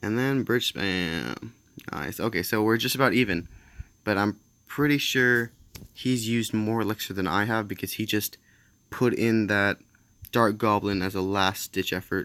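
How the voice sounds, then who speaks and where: A man's bright, sharp voice at a moderate pace, with ordinary pitch variation and long, frequent pauses. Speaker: gaming commentator. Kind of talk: gameplay commentary. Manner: casual, halting.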